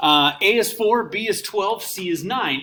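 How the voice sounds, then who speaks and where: The speaker has an energetic tone and lively intonation. Noticeable background noise runs underneath. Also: man. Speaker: math teacher. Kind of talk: recorded lesson. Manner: casual, energetic.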